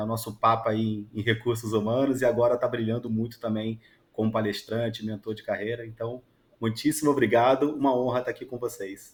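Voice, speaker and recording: A man's medium-pitched voice with a strong Rio de Janeiro accent, flat monotone intonation and a fairly quick pace, on a very clean recording with a silent background. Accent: strong carioca. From Rio de Janeiro, Brazil. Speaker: HR executive. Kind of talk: radio interview.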